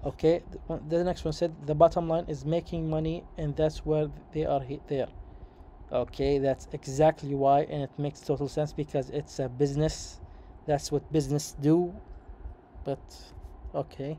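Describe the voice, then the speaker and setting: The speaker, in a Saudi accent, keeps a moderate pace broken by long, frequent pauses. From Saudi Arabia. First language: Arabic. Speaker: YouTuber, commentator. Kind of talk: reading aloud with commentary. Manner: halting.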